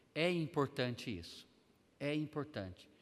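A man's fairly high-pitched voice with vocal fry. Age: 50s. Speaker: Sunday school teacher, pastor. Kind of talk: bible class lesson.

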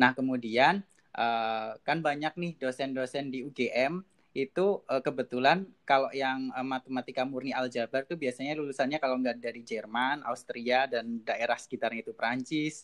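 At a moderate pace with hardly any pauses, a man speaks in a plain, everyday voice at a medium pitch, with a dry, close sound and no echo. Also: ordinary pitch variation. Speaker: PhD student in mathematics. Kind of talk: casual interview. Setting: video call.

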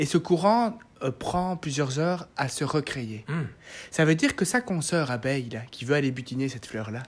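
The recording is very clean, with a silent background. The speaker keeps a moderate pace. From Belgium. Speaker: podcast host, beekeeper. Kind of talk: casual chat. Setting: guest's home studio.

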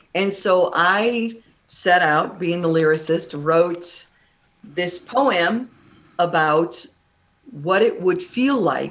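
Lively intonation from a woman with a Midwestern American accent and a fairly low pitch. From Illinois, Kankakee. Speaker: singer-songwriter. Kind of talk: radio interview.

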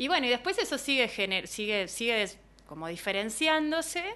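High-pitched female voice over a quiet background, she speaks. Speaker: biologist, placenta medicine practitioner. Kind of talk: interview.

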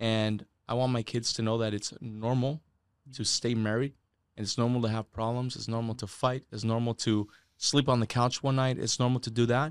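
A man with an American accent speaks in a monotone with flat intonation. The recording is very clean, the background silent. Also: medium pitch for a man, moderate pace, dry, close sound with no echo. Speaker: sales leader / guest. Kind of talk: interview conversation.

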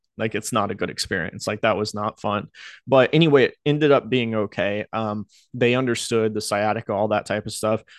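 A man with an American accent talks at a fairly quick pace, fairly low in pitch with ordinary pitch variation. The sound is dry and close with no echo over a quiet background. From US South, North Carolina Outer Banks. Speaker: YouTuber and web developer. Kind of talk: personal storytelling monologue. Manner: casual, halting with filler words.

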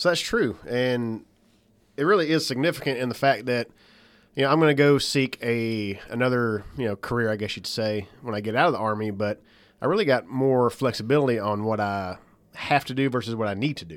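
A man talks at a fairly quick pace with a medium pitch and ordinary pitch variation, in an ordinary speaking voice. The recording is very clean, with a silent background. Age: 40s. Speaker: army master sergeant and military instructor. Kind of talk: casual chat.

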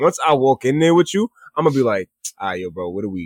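In a very clean recording with a silent background and a dry, close sound with no echo, a man speaks at a very fast pace in a fairly high pitch, with very wide pitch swings. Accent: American. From Long Island suburbs, New York. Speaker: podcast host. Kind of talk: casual chat.

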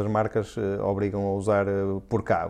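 With a European Portuguese accent, a man speaks at a moderate pace in a dark, mellow tone. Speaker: podcast host. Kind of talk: casual chat.

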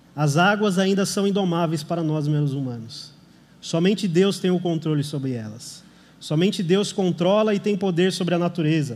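Audible room echo surrounds a man's voice. He has a high pitch and speaks at a moderate pace. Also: ordinary pitch variation. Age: 30s. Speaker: lay preacher. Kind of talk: sermon. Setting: church service.

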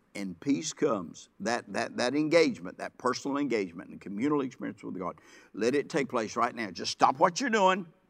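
The speaker uses vocal fry and very wide pitch swings at a fairly quick pace. The background is quiet. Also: man, medium pitch for a man, big swings in loudness. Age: 70s. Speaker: pastor. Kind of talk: sermon. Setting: church. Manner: halting.

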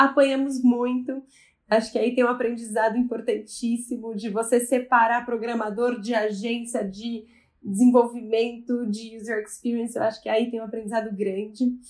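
This woman talks at a moderate pace in a fairly high pitch, her intonation monotone and flat. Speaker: family business executive. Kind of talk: podcast interview.

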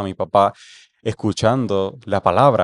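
A man with an ordinary speaking voice talks at a fairly low pitch with ordinary pitch variation. The sound is dry and close with no echo. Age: 20s. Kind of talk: casual chat.

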